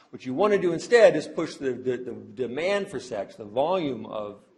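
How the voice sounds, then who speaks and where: A man's lively intonation with audible room echo. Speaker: sociology professor. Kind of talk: lecture. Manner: fast; halting with fillers.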